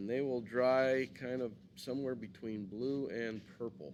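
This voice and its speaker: Here is a normal speaking voice with ordinary pitch variation. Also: man. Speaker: art teacher. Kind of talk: tutorial.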